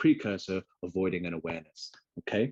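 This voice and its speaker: With an English accent, a man talks at a very fast pace in a very deep, low pitch, his tone dark and mellow and the sound dry and close with no echo. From England. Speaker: webinar host and freelance graphic designer. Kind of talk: online webinar presentation. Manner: friendly, casual with filler words.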